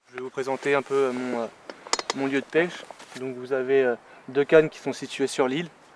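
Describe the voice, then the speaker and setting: Over noticeable background noise, a man at medium pitch speaks at a moderate pace in a monotone, flat intonation, his loudness swinging widely between long, frequent pauses. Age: 20s. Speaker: carp angler. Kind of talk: casual explanation to camera. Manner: hesitant, many fillers.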